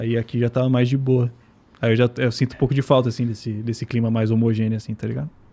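A man with a dark, mellow, somewhat breathy tone talks very fast in a monotone, flat delivery. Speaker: guest living in Japan. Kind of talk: casual chat. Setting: studio. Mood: relaxed, casual slang. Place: studio. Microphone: studio mic.

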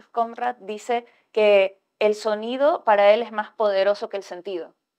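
A woman has an unremarkable speaking voice with fairly high pitch and fairly even intonation. The background is quiet. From Ecuador. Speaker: writer; panelist. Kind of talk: panel discussion. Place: hall.

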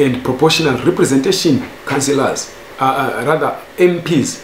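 A man speaks at a fairly slow pace, with audible room echo and light background noise. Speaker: news commentator. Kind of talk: commentary. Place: home room.

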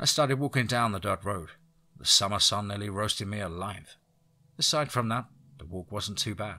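This natural reading voice moves with ordinary pitch variation.

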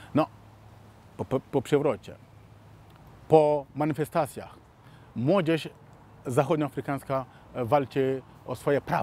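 Very slow speech in a dark, mellow tone, with fairly even intonation, long, frequent pauses and a dry sound with no echo. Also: man. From Mali. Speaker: law graduate, Africa commentator. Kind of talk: monologue commentary. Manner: halting, many fillers. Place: garden.

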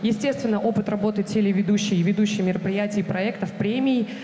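Audible room echo and light background noise surround a woman at a medium pitch. She talks at a fairly quick pace with fairly even intonation. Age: 20s. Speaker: TV presenter candidate at casting; TV presenter. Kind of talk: job interview / casting. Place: stage. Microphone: handheld.

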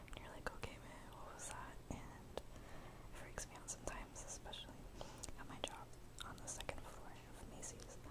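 A soft-spoken woman's whisper at a moderate pace, broken by long, frequent pauses. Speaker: vlogger. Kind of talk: casual vlog chat answering questions. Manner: soft close whisper, ASMR. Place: home room. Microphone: webcam.

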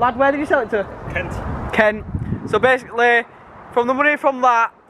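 Over noticeable background noise, a man talks in a raised, projected voice. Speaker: car vlogger. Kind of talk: casual vlog chat. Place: street. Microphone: phone near.

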